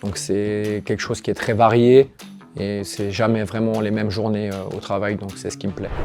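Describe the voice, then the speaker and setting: Amid noticeable background noise, a man talks at a moderate pace with a fairly low pitch. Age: 30s. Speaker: office employee. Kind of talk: interview. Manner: hesitant, many fillers.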